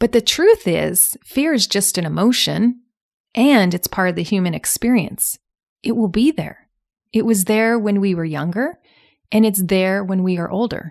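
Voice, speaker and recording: In a very clean recording with a silent background and a dry, close sound with no echo, a woman with an unremarkable speaking voice talks at a fairly slow pace, medium pitch and ordinary pitch variation. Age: 40s. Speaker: podcast host and alcohol coach. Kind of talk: solo podcast monologue. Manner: conversational.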